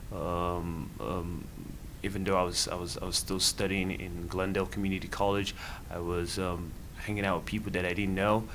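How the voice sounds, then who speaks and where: In a room with audible echo, a man speaks at a moderate pace with a very deep, low pitch. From Nigeria. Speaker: student and nonprofit founder. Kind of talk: interview. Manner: halting, many fillers and repeated words.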